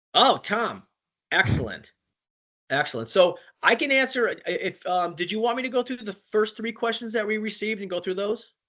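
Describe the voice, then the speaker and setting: Here a man speaks with a high pitch and ordinary pitch variation. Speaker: sales director presenting a product. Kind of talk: webinar presentation. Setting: online webinar call. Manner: fast; halting with many repetitions.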